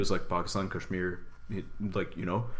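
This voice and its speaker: There is audible room echo around this man's voice. He speaks with monotone, flat intonation. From United States. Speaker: podcast co-host. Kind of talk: casual discussion.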